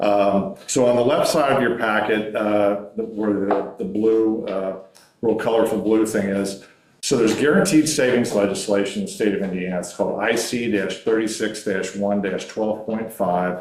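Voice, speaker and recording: Audible room echo surrounds a man's fairly low-pitched voice. He keeps a moderate pace with fairly even intonation. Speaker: energy services sales representative. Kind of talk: business presentation at a public meeting. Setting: county council meeting room.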